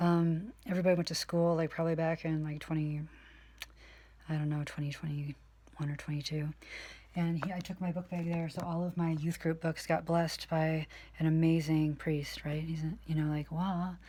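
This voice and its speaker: A somewhat breathy woman's voice, fairly low in pitch, dark and mellow in tone, with flat, monotone intonation. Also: moderate pace. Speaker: youth group teacher and vlogger. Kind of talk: casual vlog, show-and-tell.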